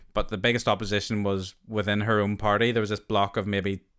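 In a very clean recording with a silent background, a man with a Northern Irish accent speaks fairly quickly in a flat monotone at a fairly low pitch. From Northern Ireland. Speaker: podcast host. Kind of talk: casual interview.

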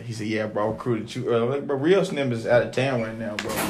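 A man talks at a very fast pace in an animated tone, medium in pitch with ordinary pitch variation. Noticeable background noise and audible room echo surround him. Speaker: podcast host. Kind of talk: casual chat. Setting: at home.

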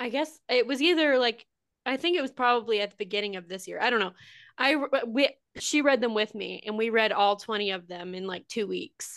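A woman's unremarkable speaking voice, an unremarkable speaking voice at a fairly high pitch, fairly quick in pace with lively intonation against a quiet background. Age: 20s. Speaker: podcast co-host and author. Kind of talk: casual chat.

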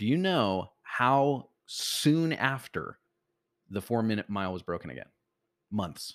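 A man's medium-pitched voice in an American accent, with an animated tone and very wide pitch swings. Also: fairly slow pace. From US Midwest, Chicago. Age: 30s. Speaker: entrepreneur and marketing mentor. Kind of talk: casual interview chat.

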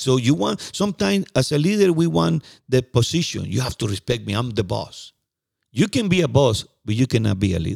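With a Spanish accent and vocal fry, a man's voice makes very wide pitch swings in a dry, close recording with no echo. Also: medium pitch for a man, fairly quick pace. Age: 50s. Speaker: podcast co-host. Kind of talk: casual chat. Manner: halting.

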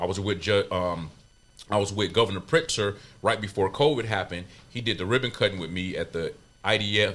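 With an unremarkable speaking voice, a man talks at a fairly quick pace with ordinary pitch variation. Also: fairly low pitch for a man. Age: 40s. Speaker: barber school owner. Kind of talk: casual interview.

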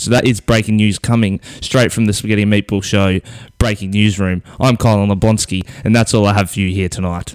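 In a fairly low pitch, a man speaks at a moderate pace with monotone, flat intonation. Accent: Australian. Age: young. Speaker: podcast host. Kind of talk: casual chat.

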